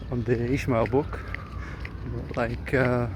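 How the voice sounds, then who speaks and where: Fairly slow, flat, monotone speech from a man, with audible room echo and noticeable background noise. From Israel. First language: Hebrew. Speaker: vlogger. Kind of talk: casual vlog monologue. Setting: outdoors, walking through a park. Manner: hesitant, many fillers.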